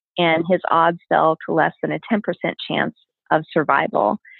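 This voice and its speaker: The speaker has an unremarkable speaking voice with ordinary pitch variation. The pace is moderate. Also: woman. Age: 40s. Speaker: cancer survivor and nonprofit founder. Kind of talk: interview.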